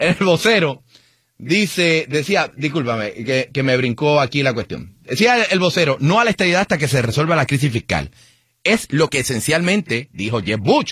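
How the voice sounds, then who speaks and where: The speaker has a Puerto Rican accent and a moderate pace. Pitch swings very widely. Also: man, fairly high pitch for a man. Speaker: radio host. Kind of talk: call-in radio show. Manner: animated.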